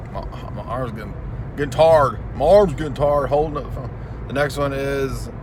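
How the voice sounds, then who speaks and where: A man with a slight Southern US accent talks at a fairly quick pace in a fairly high pitch, his loudness swinging widely over noticeable background noise. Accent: light Southern US. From Tennessee. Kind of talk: casual talk to camera.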